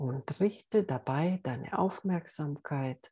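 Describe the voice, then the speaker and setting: A woman's very deep, low voice, dark and mellow, calm and soothing, somewhat breathy, at a very slow pace with lively intonation. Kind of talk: guided meditation. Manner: slow, soft, calm and soothing.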